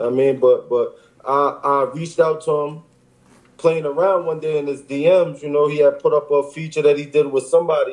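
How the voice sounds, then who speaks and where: A man talks fairly quickly in a New York accent. His pitch is fairly high and his intonation monotone and flat. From Long Island, New York. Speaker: rapper. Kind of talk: casual interview. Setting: in a car.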